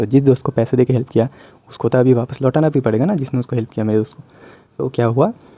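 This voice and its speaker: A man with a medium-pitched voice and a dark, mellow tone speaks with ordinary pitch variation in a dry, close recording with no echo. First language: Bengali (speaking Hindi). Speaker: YouTuber. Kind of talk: casual vlog monologue. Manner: hesitant, many fillers.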